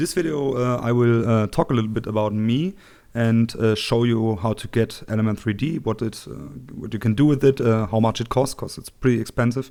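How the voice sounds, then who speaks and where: Fairly quick speech with a German accent, dark and mellow in tone, with ordinary pitch variation. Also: man, medium pitch for a man. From Germany. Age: 20s. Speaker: tech tutorial youtuber. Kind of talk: tutorial. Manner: halting, many fillers.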